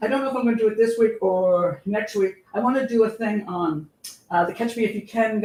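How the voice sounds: The voice reads in a natural reading voice, its pitch shifting in an ordinary way.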